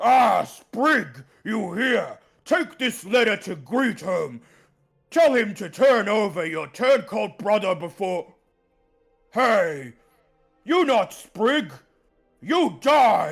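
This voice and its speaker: In a raspy, put-on character voice, the speaker talks at a very slow pace with long, frequent pauses. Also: man, high pitch for a man. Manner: menacing, then furious.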